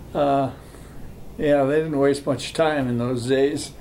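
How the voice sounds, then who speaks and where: A man speaks with an American accent at a fairly high pitch, his intonation monotone and flat. Noticeable background noise and audible room echo are present. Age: 80s+. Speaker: grandfather sharing family history. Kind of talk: family oral history interview. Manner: halting, many fillers.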